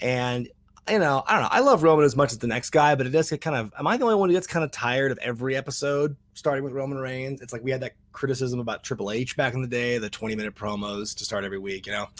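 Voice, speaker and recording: A man speaks at a very fast pace in a medium pitch, his tone animated, his pitch varying in an ordinary way, with hardly any pauses. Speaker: wrestling show reviewer. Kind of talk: casual video review.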